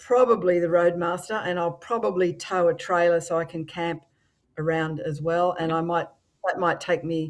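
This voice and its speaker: A woman with an Australian accent speaks at a moderate pace, her fairly low voice keeping a fairly even intonation. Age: 60s. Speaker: motorcycle influencer. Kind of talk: podcast interview. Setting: live-streamed podcast.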